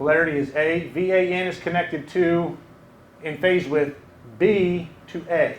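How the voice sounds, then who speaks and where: A man with a high pitch speaks at a fairly slow pace and in a fairly even tone, with audible echo from the room. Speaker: engineer giving a technical talk. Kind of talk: lecture.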